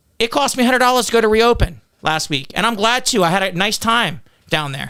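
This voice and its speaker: A man's high-pitched, raised and projected voice, bright and sharp in tone, with lively intonation at a fairly quick pace. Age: 40s. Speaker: political candidate. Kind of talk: podcast interview. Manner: loud.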